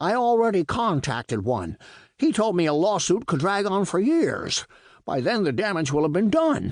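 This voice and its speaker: A put-on character voice runs at a moderate pace against a quiet background. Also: man, high pitch for a man. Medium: read story. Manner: excitable, fretful.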